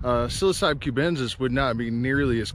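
A man at a fairly quick pace with ordinary pitch variation, dry sound with no echo and light background noise. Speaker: nature vlogger. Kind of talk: casual vlog chat. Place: open country. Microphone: phone near.

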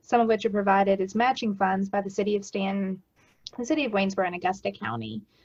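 This woman talks at a very fast pace in a medium pitch. Her voice is somewhat breathy. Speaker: director of a community action agency. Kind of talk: report presentation at council meeting. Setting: video call.

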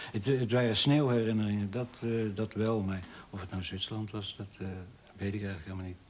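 A man speaks at a fairly quick pace with fairly even intonation and a fairly low pitch, over light background noise. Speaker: documentary interviewee. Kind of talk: interview. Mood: reflective, hesitant recollection. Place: home room.

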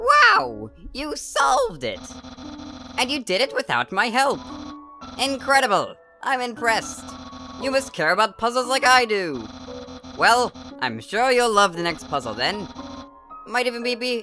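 A put-on character voice, raised, projected and strained, comes at a fairly high pitch and moderate pace, with clear music in the background. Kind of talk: comic overacting of a game character. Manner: pompous, grandiose self-praise; loud, excitable, exclamatory.

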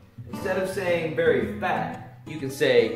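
A man speaking at a very slow pace over clear background music. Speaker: English teacher. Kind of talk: tutorial. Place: home room. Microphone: camera far.

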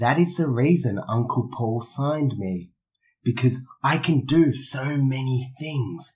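A man with an Australian accent speaks at a medium pitch, sounding somewhat breathy. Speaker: professional wrestler. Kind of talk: in-character interview. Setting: in person. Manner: arrogant.

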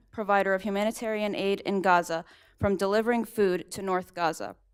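A woman speaks at a medium pitch and a fairly quick pace, with fairly even intonation. The recording is very clean, with a silent background. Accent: US Midwestern. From Ohio, US Midwest. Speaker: nurse speaking at public comment. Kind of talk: public comment speech. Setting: city council chambers.

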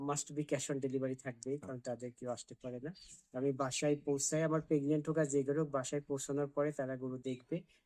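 The speaker is a man with a fairly high pitch. His tone is dark and mellow. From Bangladesh, Pabna district (Ishwardi). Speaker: cattle farmer and seller. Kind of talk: sales pitch.

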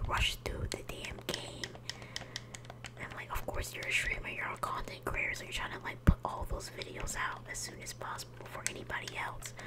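At a medium speed, a man whispers while noticeable noise sounds behind him. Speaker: ASMR gaming content creator. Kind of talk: casual talk to camera. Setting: home recording. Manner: soft, whispery.

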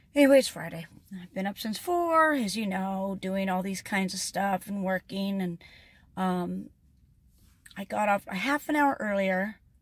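At a moderate pace, a woman speaks somewhat breathily, her loudness swinging widely, in a dry sound with no echo. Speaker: vlogger. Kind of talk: casual vlog chat. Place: car.

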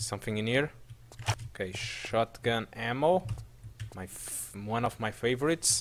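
A man's medium-pitched voice with vocal fry and lively intonation, broken by long, frequent pauses. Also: moderate pace. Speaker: gaming video creator. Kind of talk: let's play gameplay commentary. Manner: halting, many fillers; animated, laughs often.

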